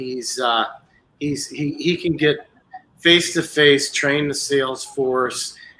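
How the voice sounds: A man speaks at a slow pace with a bright, sharp tone, a medium pitch and ordinary pitch variation.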